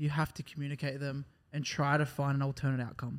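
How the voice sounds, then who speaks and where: An Australian accent marks this man's speech. He talks at a fairly quick pace with a fairly high pitch. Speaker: podcast co-host. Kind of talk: casual chat.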